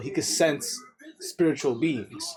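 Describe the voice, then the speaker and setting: A high-pitched man's voice over noticeable background noise. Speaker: anime reaction youtuber. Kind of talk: casual reaction commentary. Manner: animated.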